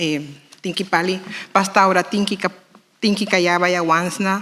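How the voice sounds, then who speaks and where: Through noticeable background noise comes a woman with a Nicaraguan accent, speaking at a fairly low pitch. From Nicaragua Caribbean Coast, Miskito people. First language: Miskito (speaking Spanish). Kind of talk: formal speech at panel. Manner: formal; fast.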